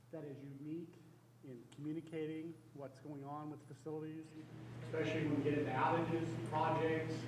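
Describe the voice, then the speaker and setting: Audible room echo and noticeable background noise mark this recording. The man speaking has a fairly high pitch. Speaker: university facilities executive. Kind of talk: presentation to staff. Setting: meeting room with audience, no microphone. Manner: loud.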